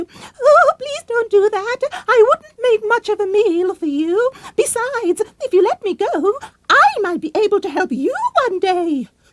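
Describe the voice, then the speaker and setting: Her voice is a squeaky put-on character, pitched extremely high. The delivery moves at a moderate speed. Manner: scared, pleading.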